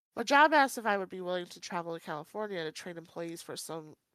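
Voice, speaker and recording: A woman's fairly low voice in a very clean recording with a silent background. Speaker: podcast co-host. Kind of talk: reading aloud.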